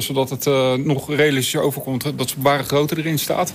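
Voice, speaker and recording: A man speaks at a very fast pace with a fairly high pitch. His intonation is monotone and flat. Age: 40s. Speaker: hologram company owner. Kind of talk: interview. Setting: studio loft.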